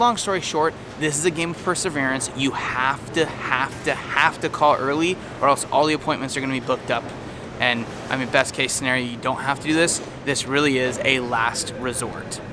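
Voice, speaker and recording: Noticeable background noise sits behind a man with an American accent. His fairly high voice keeps a fairly quick pace and fairly even intonation. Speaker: travel vlogger. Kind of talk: casual vlog tips. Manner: fast.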